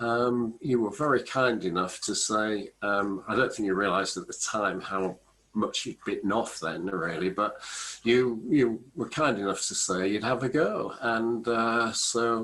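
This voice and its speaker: Fairly slow speech in an English accent. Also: man, medium pitch for a man, ordinary pitch variation. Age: 60s. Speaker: business author and small business champion. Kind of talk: casual interview.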